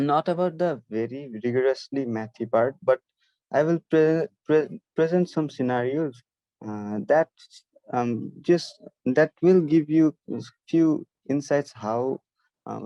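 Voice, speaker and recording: A man with a Nepali accent speaks very slowly in a dark, mellow tone at a fairly high pitch, recorded in a dry, close sound with no echo. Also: ordinary pitch variation. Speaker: math olympiad instructor. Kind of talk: online lecture. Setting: online video session, camera off. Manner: halting, many fillers.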